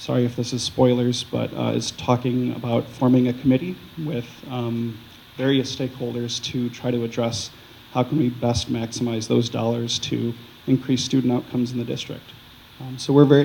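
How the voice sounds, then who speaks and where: Noticeable background noise behind a man at a medium pitch, moderate pace and monotone, flat intonation. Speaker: school district finance official presenting budget. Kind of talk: formal, presentation.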